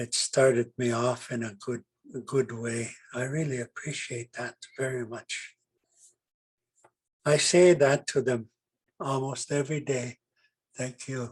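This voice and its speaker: Somewhat breathy and fairly slow, a man speaks at medium pitch with fairly even intonation and long, frequent pauses, in a dry, close sound with no echo. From Canadian Prairies (Dakota First Nation, Manitoba). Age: 80s+. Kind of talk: storytelling talk. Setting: online presentation. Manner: halting, many fillers.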